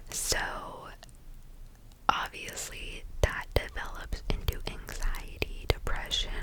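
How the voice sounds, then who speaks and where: A woman whispers at a very slow pace. Noticeable noise runs in the background. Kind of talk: whisper ramble, casual talk to camera. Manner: whispered, soft-spoken.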